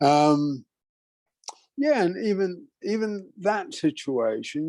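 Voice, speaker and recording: A man's dark, mellow tone with lively intonation. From immigrant to Canada, British Columbia. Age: 80s+. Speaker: workshop leader. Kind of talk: lecture. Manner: halting, many fillers.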